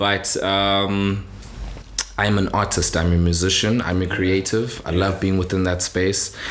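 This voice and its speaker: A very deep, low male voice, fairly slow and flat, with very even loudness and audible room echo. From South Africa, Cape Town. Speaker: musician. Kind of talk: casual interview chat.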